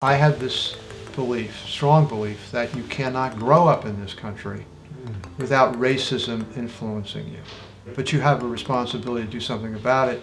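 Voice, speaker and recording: Medium pitch from a man, fairly even intonation, a moderate pace and noticeable background noise. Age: 70s. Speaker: retired health care executive and lawyer. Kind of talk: podcast conversation.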